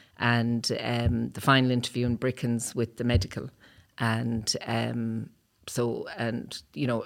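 A woman speaks in a Cork accent at a fairly slow pace. Her pitch is very deep and low. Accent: Cork Irish. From Cork, Ireland. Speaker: retired army officer. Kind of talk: interview.

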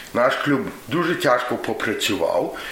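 Audible room echo and noticeable background noise around a man talking. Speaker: former student organizer. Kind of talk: reminiscence.

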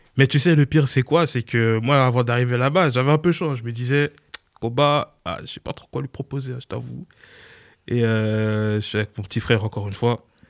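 A man at medium pitch, a normal speaking voice, ordinary pitch variation, moderate pace and big swings in loudness, in dry, close sound with no echo. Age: 20s. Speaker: music producer. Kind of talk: interview.

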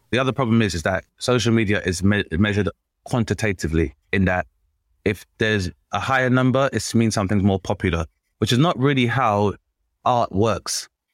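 Here is an ordinary speaking voice from a man with a fairly low pitch and ordinary pitch variation, at a fairly quick pace and very even loudness. The sound is dry and close with no echo, on a very clean recording with a silent background. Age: 30s. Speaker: comedian and podcast host. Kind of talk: casual chat.

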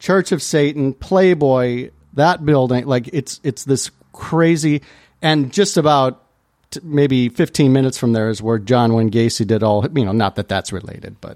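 A man's ordinary speaking voice with an American accent, medium pitch, lively intonation, and fairly slow pace, dry and close with no echo. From US Midwest, Chicago area. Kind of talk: casual chat.

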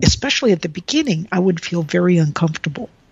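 A woman with an American accent speaks in a somewhat breathy voice with lively intonation. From rural Texas, US. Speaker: engineering professor. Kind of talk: casual interview.

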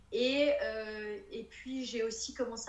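A woman talks at a very slow pace with ordinary pitch variation. Room echo is audible. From northern France, Lille. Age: 30s. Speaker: interior decorator. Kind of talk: casual interview chat.

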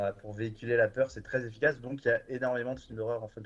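A man with a medium-pitched, somewhat breathy voice talks at a very fast pace. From France, Bordeaux. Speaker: streaming platform programmer. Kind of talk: casual chat.

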